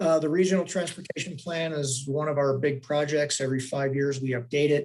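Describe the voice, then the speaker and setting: A man with an unremarkable speaking voice and fairly high pitch talks at a fairly quick pace, his intonation fairly even. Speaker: transportation planning agency director. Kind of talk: public board meeting staff report.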